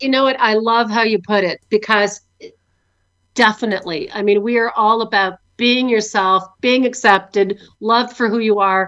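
A woman with a Canadian accent and an ordinary speaking voice talks at a moderate pace, her fairly high pitch held in fairly even intonation, against a quiet background. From Canada. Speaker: vodka company founder. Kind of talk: interview.

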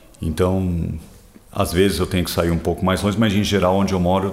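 A man's very deep, low voice, monotone and flat, at a fairly quick pace over noticeable background noise. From São Paulo, Brazil. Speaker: interviewee, city resident. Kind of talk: interview.

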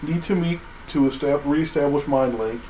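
Moderate pace amid noticeable background noise. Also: man. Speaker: tabletop roleplaying player. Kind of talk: tabletop roleplaying game session, casual banter.

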